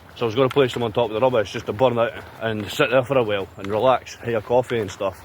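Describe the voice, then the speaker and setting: Over noticeable background noise, a man with a Scottish accent speaks at a very fast pace in an animated tone. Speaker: outdoor vlogger. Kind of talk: casual vlog to camera. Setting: outdoors.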